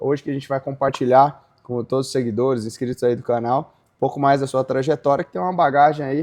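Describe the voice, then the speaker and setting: A man's normal speaking voice, medium in pitch, fairly quick, with fairly even intonation. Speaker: podcast host, founder of agribusiness legal portal. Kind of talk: casual interview conversation.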